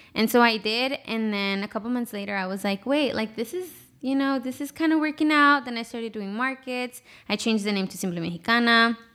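A woman with a fairly high, bright, sharp voice talks at a fairly quick pace with ordinary pitch variation. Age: 20s. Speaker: small business owner, artist. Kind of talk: casual interview chat. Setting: studio.

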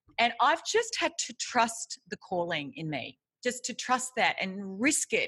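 A woman with an Australian accent speaks at a fairly slow pace, her tone energetic, bright and sharp. Her intonation is lively, and the background is quiet. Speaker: author and leadership coach. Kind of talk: interview.

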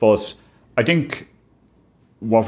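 A man speaks with a western Irish accent. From Ireland, County Clare. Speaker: tax advisor. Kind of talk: interview.

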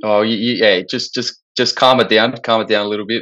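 A man speaks with an Australian accent in a monotone, flat intonation. The background is quiet. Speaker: football podcast co-host. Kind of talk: casual chat.

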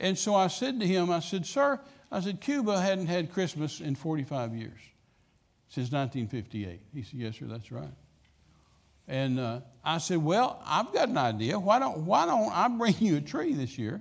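Speaking in a West Texas accent, a man uses a fairly high pitch with very wide swings at a fairly slow pace. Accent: West Texas drawl. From West Texas, Midland. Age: 70s. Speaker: traveling evangelist. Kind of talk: sermon. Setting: church.

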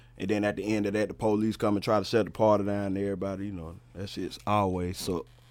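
A man with a North Carolina accent, fairly low-pitched and monotone, with flat intonation, at a very fast pace with hardly any pauses. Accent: US Southern (North Carolina). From Charlotte, North Carolina (West Side). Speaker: rapper and producer. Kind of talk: casual chat.

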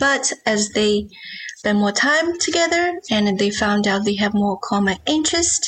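With a Chinese accent, a woman speaks in a fairly high pitch with lively intonation. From China. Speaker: novelist. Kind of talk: interview.

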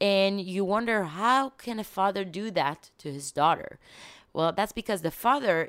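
A woman with an Israeli accent speaks at a fairly slow pace on a very clean recording with a silent background. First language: Hebrew. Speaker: TV journalist. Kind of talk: casual chat.

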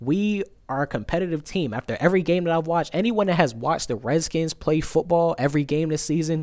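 On a very clean recording with a silent background, the speaker races along very fast in an animated tone, with ordinary pitch variation. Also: man. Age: 20s. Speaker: sports fan vlogger. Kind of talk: live stream sports reaction monologue.

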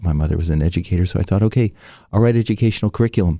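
A man with a General American accent speaks in a very deep, low voice with a dark, mellow tone. The recording is very clean, with a silent background. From US West Coast, San Francisco. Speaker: meditation teacher. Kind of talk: interview.

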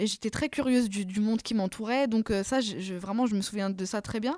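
A woman talks at a fairly quick pace in a fairly high pitch. The recording is very clean, with a silent background. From France, Paris suburbs (Seine-Saint-Denis). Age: 30s. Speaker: novelist. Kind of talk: interview. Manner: hesitant, many repetitions.

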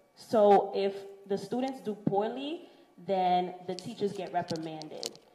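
Against noticeable background noise, the speaker goes at a fairly slow pace with ordinary pitch variation. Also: woman, medium pitch for a woman. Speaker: teacher. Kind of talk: casual interview chat.

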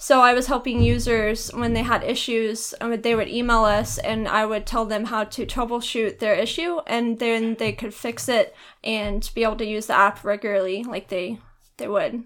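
Here is a woman with a normal speaking voice, fairly high in pitch, at a moderate pace. Her intonation stays fairly even in a very clean recording with a silent background. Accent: American. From Texas. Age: 20s. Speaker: college student. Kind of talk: casual interview.

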